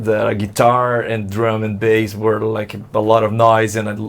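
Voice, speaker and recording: A fairly low-pitched male voice at a moderate pace, monotone with flat intonation. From Brazil, São Paulo state (Santo André). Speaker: alt-rock musician. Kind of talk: interview. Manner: halting, many repeated words.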